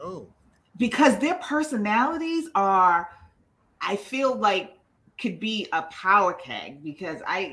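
A woman speaks very slowly in a bright, sharp tone, her pitch swinging very widely and her loudness rising and falling a lot, with long pauses coming often. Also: medium pitch for a woman. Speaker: podcast co-host. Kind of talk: casual chat, reality TV recap.

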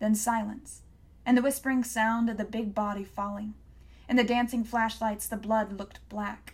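What we hear is plain reading aloud.

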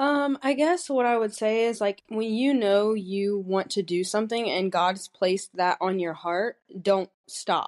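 A woman's plain, everyday voice at a medium pitch, fairly slow with hardly any pauses, ordinary pitch variation, a dry, close sound with no echo and a quiet background. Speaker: physical therapist. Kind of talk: casual interview chat.

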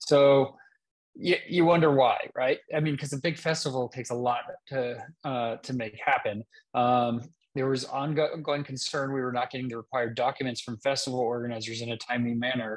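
At a medium pitch, a man talks at a moderate pace with fairly even intonation. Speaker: podcast host. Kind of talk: casual interview. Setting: remote call. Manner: halting, many filler words.

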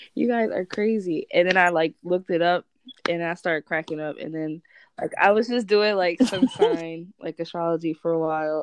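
An ordinary speaking voice from a woman, fairly low in pitch with ordinary pitch variation, at a moderate pace, dry and close with no echo. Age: 20s. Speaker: astrology enthusiast. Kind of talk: casual chat.

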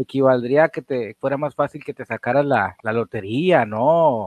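This is a man's voice. He speaks in a Mexican accent. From Mexico. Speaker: paranormal podcast host. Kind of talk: casual interview. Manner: halting, many repetitions.

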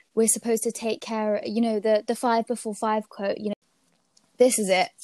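With a slight British accent, a woman speaks at a fairly high pitch. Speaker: podcast host and university student. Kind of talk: casual interview chat.

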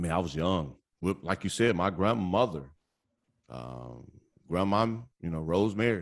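Loud and very deep, low-pitched, a man with an American accent speaks at a moderate pace with lively intonation and long, frequent pauses. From Chicago area, Indiana. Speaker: podcast guest, sports podcaster. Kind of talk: casual podcast interview.

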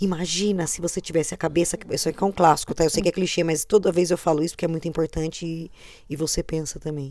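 A woman with a dark, mellow tone and a fairly low pitch speaks very fast in a monotone, flat way. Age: 30s. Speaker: podcast co-host. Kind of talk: casual chat.

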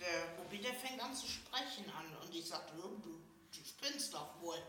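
A woman's lively intonation at a fairly slow pace, with audible room echo and noticeable background noise. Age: 50s. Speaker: early retiree living in supported housing. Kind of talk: casual chat.

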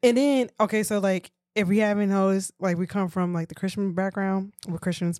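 Fairly quick and fairly even in intonation, a woman talks at a medium pitch. The recording is very clean with a silent background and a dry, close sound with no echo. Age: 30s. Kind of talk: casual chat.

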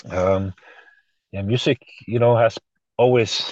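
In a Norwegian accent, a man speaks at a moderate pace with a dark, mellow tone and monotone, flat intonation, the sound dry and close with no echo. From Norway. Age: 40s. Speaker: musician. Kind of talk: interview.

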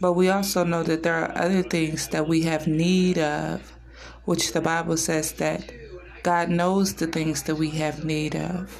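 Against noticeable background noise, a woman speaks in a warm tone at a fairly low pitch. Her intonation is monotone and flat. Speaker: social media personality. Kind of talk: devotional prayer; morning devotional vlog. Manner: fervent, earnest; warm, reverent, measured.

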